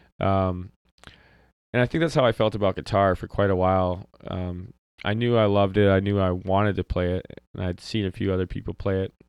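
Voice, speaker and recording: A man with an American accent talks at a fairly quick pace, his intonation fairly even. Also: fairly low pitch for a man. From Wisconsin. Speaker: singer-songwriter. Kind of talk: casual interview. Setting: home basement.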